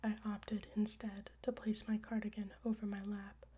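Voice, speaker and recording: A soft-spoken woman. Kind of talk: ASMR audiobook reading of her own story.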